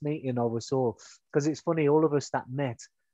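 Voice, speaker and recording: This is an unremarkable speaking voice. It moves at a fairly quick pace. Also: man. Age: 40s. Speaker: podcast host, physiotherapist, army veteran. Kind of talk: casual chat.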